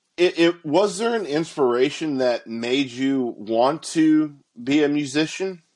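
A man's ordinary speaking voice, fairly high for a man, at a fairly slow pace. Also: ordinary pitch variation. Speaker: podcast host. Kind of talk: casual chat.

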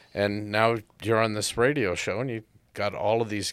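Fairly low in pitch, a man talks at a fairly slow pace in an unremarkable speaking voice, recorded very cleanly against a silent background. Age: 60s. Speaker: podcast host. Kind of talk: casual chat.

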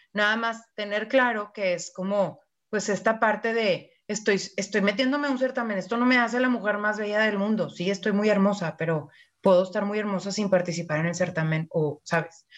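With a Mexican accent, a woman talks at a moderate pace and medium pitch, her pitch varying in an ordinary way. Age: 40s. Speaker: podcast co-host. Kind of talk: casual chat.

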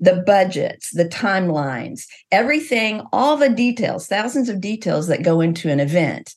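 A woman talks at a fairly slow pace in a medium-pitched, somewhat breathy voice. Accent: American. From US Midwest, Missouri. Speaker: event business owner. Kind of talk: interview conversation. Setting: video call.

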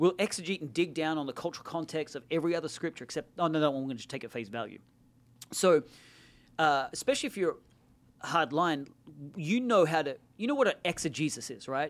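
A man with an Australian accent speaks very fast in a fairly high voice, with long, frequent pauses. His loudness swings a lot, and the recording is very clean with a silent background. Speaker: pastor. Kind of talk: casual chat.

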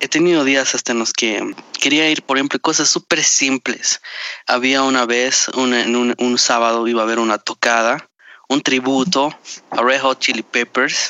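The delivery moves at a moderate pace with fairly even intonation. Its loudness stays very even. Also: man, medium pitch for a man. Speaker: podcast co-host. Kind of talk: casual chat. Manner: formal word choice.

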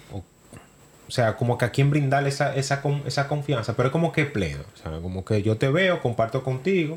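The man's voice has some breathiness to it. He keeps a moderate pace. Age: 30s. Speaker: podcast co-host. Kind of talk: casual chat.

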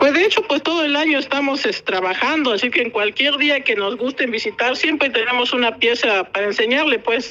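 Raised and projected, a woman's high voice moves with lively intonation at a fairly quick pace, with hardly any pauses and very even loudness, over noticeable background noise. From Oaxaca, Mexico (Ocotlán). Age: 40s. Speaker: textile artisan. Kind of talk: interview.

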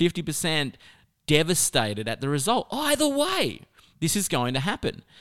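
An animated man with an Australian accent, in a very clean recording with a silent background. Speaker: motivational speaker. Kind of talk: podcast monologue.

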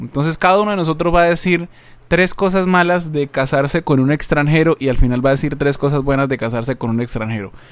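At a very fast pace, a man speaks at a fairly high pitch with ordinary pitch variation. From Colombia. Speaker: podcast co-host. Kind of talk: casual chat.

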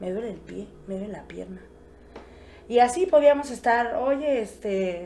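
Room echo is audible as a woman talks in an animated tone at a fairly high pitch. Her pace is moderate and her pitch varies in an ordinary way. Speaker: podcast guest. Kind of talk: casual chat.

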